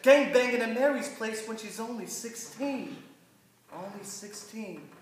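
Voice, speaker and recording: Amid audible room echo and noticeable background noise, a man with an extremely high pitch speaks at a fairly slow pace, with ordinary pitch variation and big swings in loudness. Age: young. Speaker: spoken word poet. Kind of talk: casual introduction; spoken word performance.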